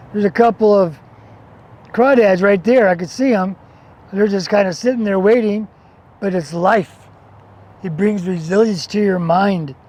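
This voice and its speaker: Over noticeable background noise, a man with an American accent speaks at a high pitch and a moderate pace, leaving long, frequent pauses. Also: ordinary pitch variation. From New Mexico, US Southwest. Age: 60s. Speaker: outdoor adventure vlogger. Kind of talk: casual to-camera monologue. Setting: outdoors by a river. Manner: animated.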